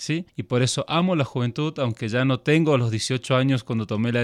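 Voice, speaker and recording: A man speaks at a moderate pace with a medium pitch, a plain, everyday voice, and ordinary pitch variation. The sound is dry and close with no echo, and the recording is very clean against a silent background. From Argentina, then Switzerland from age 12. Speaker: missionary. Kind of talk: interview conversation. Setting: studio.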